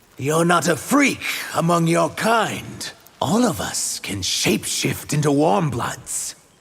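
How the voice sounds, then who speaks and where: A man puts on a character voice at a fairly high pitch. His pitch swings very widely as he speaks at a fairly slow pace. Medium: video game.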